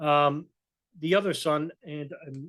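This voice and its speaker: A man with a New York accent talks at a fairly high pitch with fairly even intonation. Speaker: political commentator, video blogger. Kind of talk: casual commentary with reading of articles. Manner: halting, many fillers.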